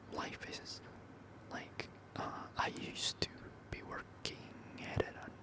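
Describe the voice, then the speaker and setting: Someone whispers over noticeable background noise. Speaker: ASMR content creator. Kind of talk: ASMR whispered talk to camera.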